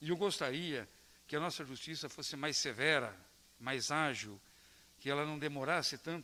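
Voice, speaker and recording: Long, frequent pauses break up this man's moderate pace. His fairly high pitch shows ordinary variation, and his tone is bright and sharp. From Brazil, Palmeira. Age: 60s. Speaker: local politician. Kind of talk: round-table talk to students. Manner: hesitant with repetitions.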